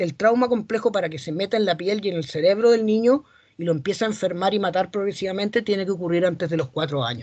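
In a quiet background, a man's speech moves at a fairly quick pace. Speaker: psychologist, seminar speaker; speaker. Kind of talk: lecture. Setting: academic seminar. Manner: fast. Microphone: webcam.

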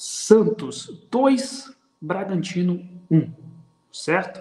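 Lively intonation marks a man's dark, mellow voice at a very slow pace, with audible room echo. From Brazil. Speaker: football tactics commentator. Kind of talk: casual football talk livestream. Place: home room. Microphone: webcam.

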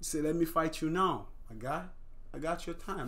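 The man's delivery proceeds at a moderate pace. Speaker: reaction channel host. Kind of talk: casual reaction commentary. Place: home room.

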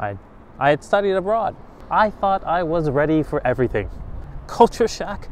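With light background noise, a man speaks at a high pitch and moderate pace, using very wide pitch swings and long, frequent pauses, the sound dry with no echo. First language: not Japanese; foreigner in Japan. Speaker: vlogger. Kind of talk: casual vlog monologue. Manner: animated. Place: street. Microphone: lapel.

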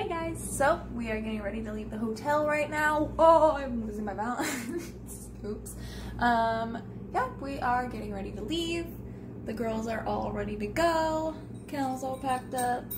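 Noticeable noise sits behind this woman's voice. She speaks at a fairly slow pace. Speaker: pet vlogger. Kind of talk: casual vlog chat. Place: home room. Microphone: phone near.

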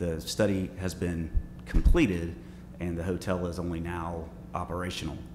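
Over noticeable background noise, a man with a very deep, low voice speaks at a moderate pace with fairly even intonation. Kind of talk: public meeting. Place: meeting room. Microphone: podium.

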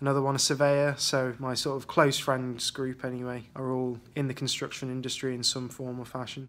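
Speaking at a fairly quick pace, a man with a West Midlands accent has a fairly high pitch. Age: 20s. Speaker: CAD technician. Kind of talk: interview answers. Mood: relaxed, friendly. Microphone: phone near.

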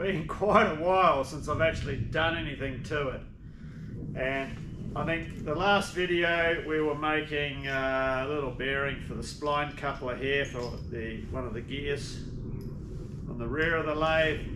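A man's fairly slow speech, with fairly even intonation, comes through noticeable background noise. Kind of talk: tutorial. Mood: relaxed, good-humoured. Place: workshop. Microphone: camera far.

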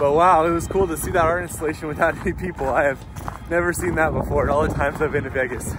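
Music plays in the background as a man talks at a very fast pace, the sound dry with no echo. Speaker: travel vlogger. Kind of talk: casual vlog chat. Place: open country. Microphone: phone near.

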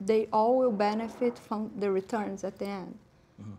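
With a Portuguese accent, a woman speaks in a fairly high pitch and a dark, mellow tone, keeping a monotone, flat intonation at a moderate pace over light background noise. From Brazil. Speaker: institutional investor; panelist. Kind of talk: panel discussion. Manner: halting. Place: studio.

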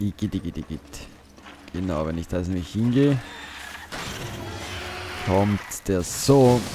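A man's very deep, low voice with lively intonation, a fairly slow pace and long, frequent pauses, over music in the background. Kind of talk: let's play gaming commentary. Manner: casual, animated.

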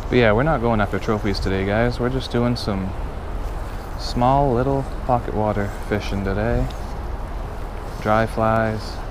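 A man talks in a dry recording with no echo. Noticeable background noise runs underneath. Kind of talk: casual vlog chat. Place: waterside. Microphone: phone near.

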